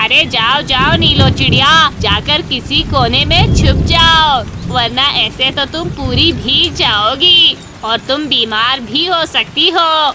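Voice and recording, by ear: A cartoonish character voice, female-sounding and very slow in pace, against clear background noise.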